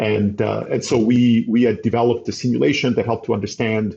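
This man speaks at a medium pitch in a monotone, flat delivery with vocal fry. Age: 50s. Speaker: data scientist and entrepreneur. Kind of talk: interview.

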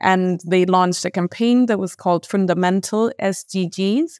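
A woman with a Spanish accent and a fairly low pitch at a moderate pace, in a dry, close sound with no echo on a very clean recording with a silent background. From Colombia. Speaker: mental health researcher. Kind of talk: podcast interview.

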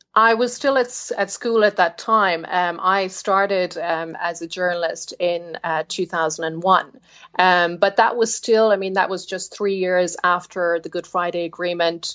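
Speaking with a Cork accent at medium pitch, a woman keeps a fairly slow pace and fairly even intonation, with hardly any pauses. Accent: Irish (Cork). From Cork, Ireland. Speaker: journalist. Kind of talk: interview answers, explanatory. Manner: hesitant, many fillers.

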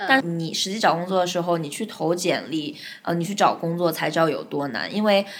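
A woman speaks at a fairly low pitch with ordinary pitch variation. Her pace is fairly quick. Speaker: advertising account manager. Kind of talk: interview. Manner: talkative.

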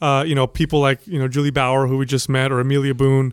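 A man's very fast, monotone and flat delivery at a fairly high pitch, in a dry, close sound with no echo. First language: Italian. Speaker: fitness podcast host. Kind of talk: casual chat.

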